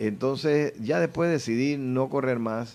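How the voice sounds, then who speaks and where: A man with a normal speaking voice talks at a fairly slow pace with ordinary pitch variation. The background is quiet. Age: 60s. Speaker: politician running for party office. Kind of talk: radio interview.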